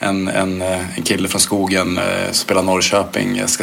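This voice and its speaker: Noticeable background noise sits behind a man with a very deep, low pitch who speaks at a fairly slow pace in a monotone, flat intonation. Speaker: former footballer. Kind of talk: interview. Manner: halting.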